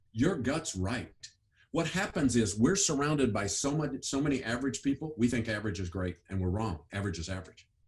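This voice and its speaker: A somewhat breathy man at medium pitch, fairly quick, with very wide pitch swings. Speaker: education author and speaker. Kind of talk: interview. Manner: fast.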